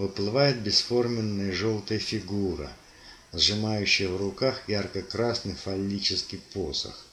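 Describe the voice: This is plain reading aloud with fairly even intonation.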